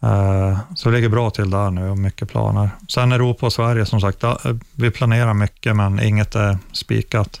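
In an ordinary speaking voice, a man talks at a moderate pace with a fairly low pitch, fairly even intonation and very even loudness, on a very clean recording with a silent background. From northern Sweden, Luleå. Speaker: metal band guitarist. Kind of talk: interview.

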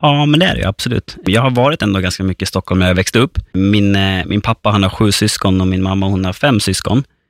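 The speaker goes at a very fast pace with ordinary pitch variation, in a very clean recording with a silent background and a dry, close sound with no echo. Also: man, fairly low pitch for a man. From Gotland, Sweden (northern Gotland). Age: 30s. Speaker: personal trainer. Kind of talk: casual interview. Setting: studio.

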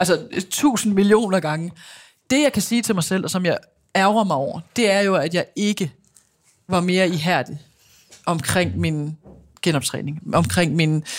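A woman talks at a fairly slow pace with a fairly low pitch and ordinary pitch variation. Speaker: former handball player and TV pundit. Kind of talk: casual interview.

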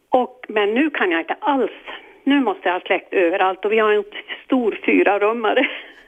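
Using a plain, everyday voice, a woman talks at a moderate pace with a fairly high pitch and lively intonation. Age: 60s. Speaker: caller with fear of the dark. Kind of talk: phone-in advice call.

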